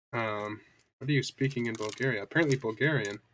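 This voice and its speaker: Here is a man with an American accent. His pitch is medium and his intonation fairly even. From US. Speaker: streamer. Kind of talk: live stream chat and reading aloud. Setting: live stream. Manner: halting.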